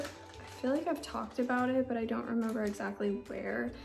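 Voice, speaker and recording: A woman whispers in a room with audible echo and noticeable background noise. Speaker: lifestyle vlogger, expectant mom. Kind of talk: casual vlog narration. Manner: whispering.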